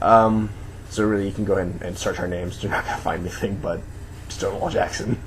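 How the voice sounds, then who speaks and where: Over noticeable background noise and audible room echo, a man with a fairly low pitch talks at a very fast pace in a monotone, flat intonation. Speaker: video blogger. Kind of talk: casual vlog monologue.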